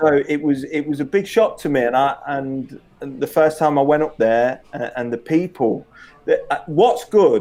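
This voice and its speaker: Speaking with an East Midlands accent, a man uses a fairly high pitch, a dark, mellow tone and lively intonation at a moderate pace. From Leicester, England. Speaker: former professional footballer. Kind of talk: interview.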